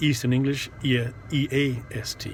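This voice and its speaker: Over noticeable background noise, a man with a Canadian accent speaks at a medium pitch in a monotone, flat intonation. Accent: English-speaking Canadian. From Montreal, Quebec. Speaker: rideshare driver and vlogger. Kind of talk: casual vlog monologue. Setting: in a car. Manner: halting, many fillers.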